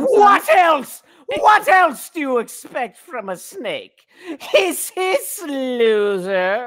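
A put-on character voice, high in pitch, crawls along at a very slow pace with very wide pitch swings. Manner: hissing, mocking.

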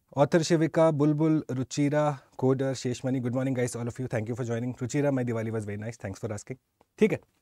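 The recording is dry, with no echo and a quiet background. A man talks very fast in a dark, mellow tone. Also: ordinary pitch variation. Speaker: exam prep teacher. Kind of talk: lecture. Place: studio. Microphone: lapel.

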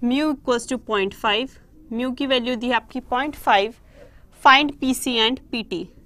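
Her pitch is high and her tone bright and sharp. The woman talks at a very slow pace with fairly even intonation. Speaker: online exam-prep teacher. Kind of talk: live online lecture. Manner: soft-spoken. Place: classroom.

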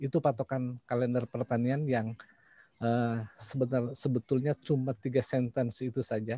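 A man's somewhat breathy, dark, mellow voice at a moderate pace, with very even loudness, monotone, flat intonation and a dry sound with no echo. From West Java (Sundanese), Indonesia. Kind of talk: online panel presentation. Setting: video call. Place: home room.

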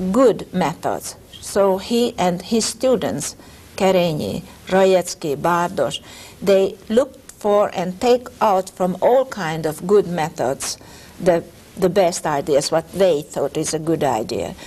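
A woman's very slow delivery with lively intonation. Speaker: music educator. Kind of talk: interview answer.

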